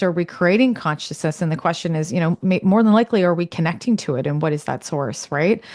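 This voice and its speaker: In an ordinary speaking voice, a woman speaks with a Canadian accent on a very clean recording with a silent background. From Canada. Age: 40s. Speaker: podcast host. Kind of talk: interview conversation.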